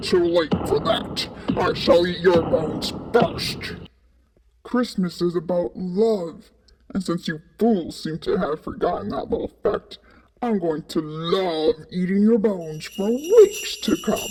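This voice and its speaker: A put-on character voice sits at a middle pitch. It goes at a fairly slow pace. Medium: audio drama. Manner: menacing, scolding.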